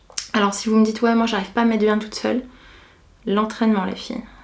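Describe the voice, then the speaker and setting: Audible room echo colors the voice of a woman as she talks. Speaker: beauty and lifestyle vlogger. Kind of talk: casual chat. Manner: relaxed, unhurried.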